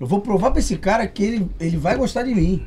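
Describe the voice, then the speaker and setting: Against noticeable background noise, a man talks at a very fast pace in a high pitch. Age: 30s. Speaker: musician. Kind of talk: casual chat.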